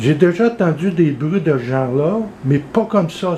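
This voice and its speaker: This man's voice sits high. Background noise is clearly audible. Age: 60s. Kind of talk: casual talk to camera.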